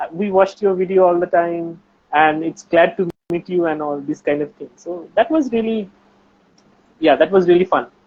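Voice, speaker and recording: A man with a strong Bengali accent speaks at a moderate pace with ordinary pitch variation. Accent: Bengali accent, heavy. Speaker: researcher and science YouTuber. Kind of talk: casual chat.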